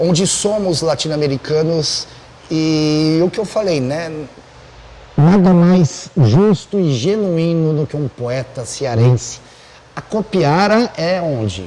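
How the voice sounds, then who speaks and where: Amid noticeable background noise, a man with a Buenos Aires accent speaks very slowly at a fairly high pitch, his intonation lively. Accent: Buenos Aires Spanish-tinged Portuguese. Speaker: podcast host. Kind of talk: casual chat.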